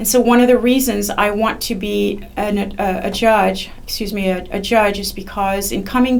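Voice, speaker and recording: A woman with a French accent speaks at a medium pitch amid audible room echo. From France. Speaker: judicial candidate, attorney. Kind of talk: interview. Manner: halting, many fillers.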